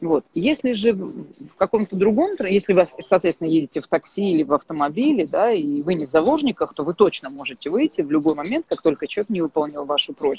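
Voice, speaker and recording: A woman with an unremarkable speaking voice talks at a fairly quick pace in a fairly low pitch, using lively intonation and hardly any pauses. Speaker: thinking coach. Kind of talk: casual chat. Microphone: connection drops.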